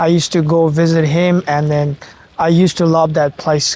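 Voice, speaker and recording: A man speaks at a moderate pace in a fairly high pitch. Noticeable background noise sits behind him. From Nepal. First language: Nepali. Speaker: master's student. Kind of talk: casual chat.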